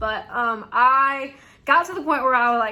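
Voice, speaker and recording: A woman speaks in a strong Southern US accent with a bright, sharp tone. Her voice is high, and her intonation is lively. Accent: thick Southern US. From US South. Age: 20s. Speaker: YouTuber, reseller. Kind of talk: casual Q&A tag video. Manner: chatty, frequent fillers.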